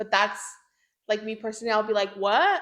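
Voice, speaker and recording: A woman speaks in a Spanish accent at a fairly high pitch. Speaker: language learner and traveler. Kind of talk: casual chat.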